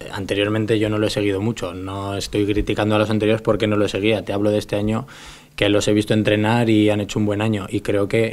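At a very fast pace, a man talks in a monotone, flat intonation with a fairly low pitch. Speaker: professional footballer. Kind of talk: press conference. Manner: halting. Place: meeting room. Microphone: podium.

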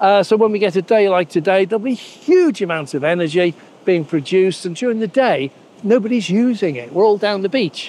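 A man with a high pitch talks at a fairly quick pace with lively intonation. The sound is dry, with no echo. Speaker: vlogger. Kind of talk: casual vlog chat. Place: beach. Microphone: lapel.

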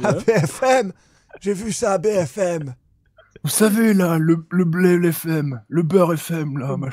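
Using a put-on character voice, a man speaks very slowly in a high pitch. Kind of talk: comic overacting. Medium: game stream. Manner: indignant, rambling, confused.

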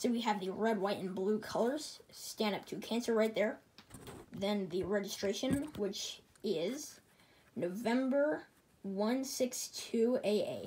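A woman talks very slowly in a fairly high voice. Her tone is dark and mellow, and somewhat breathy. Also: ordinary pitch variation. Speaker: aviation hobbyist YouTuber. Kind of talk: tutorial. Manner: casual, enthusiastic.

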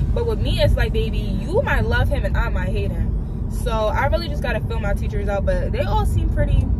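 A woman's fairly quick, nearly pause-free speech, dry with no echo, over loud background noise. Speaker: student vlogger. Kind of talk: casual vlog chat. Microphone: phone near.

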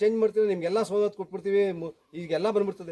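The recording is dry and close with no echo, and a man with a high pitch and a dark, mellow tone keeps his intonation fairly even. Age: 50s. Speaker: devotee and activist. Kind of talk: public protest appeal. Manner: impassioned, emphatic.

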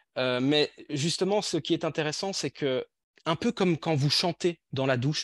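A normal speaking voice from a man at a moderate pace, with a dry sound and no echo. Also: quiet background. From Belgium. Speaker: language teacher trainer. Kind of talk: online workshop presentation. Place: home room. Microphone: video call.

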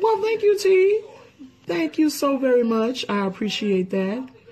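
A man talks at an extremely high pitch, with very wide pitch swings. Noticeable background noise runs behind him. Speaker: food YouTube channel co-host. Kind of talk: casual thank-you message to viewers. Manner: excitable.

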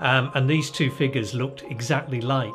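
A man speaks with clear music in the background. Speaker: interviewee. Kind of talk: interview answer. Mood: amused, relaxed storytelling. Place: home room.

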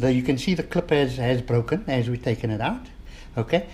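A man talks with ordinary pitch variation. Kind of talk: tutorial. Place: workshop. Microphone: camera far.

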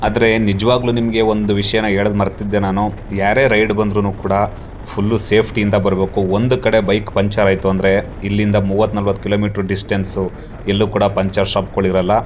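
Over noticeable background noise, a man speaks in a fairly low voice with very even loudness. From southern Karnataka, Mysuru district. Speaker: travel vlogger. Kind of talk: travel vlog narration. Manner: animated.

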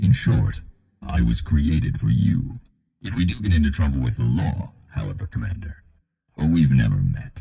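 A man's put-on character voice, very deep and low in pitch, with very wide pitch swings. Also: moderate pace. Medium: voice pack for a game companion app. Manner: dry, dutiful, humorous.

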